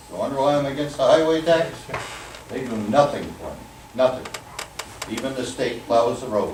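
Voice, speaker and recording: Over noticeable background noise and audible room echo, a man talks at a moderate pace and a medium pitch with ordinary pitch variation. He leaves long, frequent pauses, and his loudness swings widely. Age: 80s+. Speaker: resident speaking at town meeting. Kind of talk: public comment at town meeting. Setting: town meeting hall with audience. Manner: angry, animated.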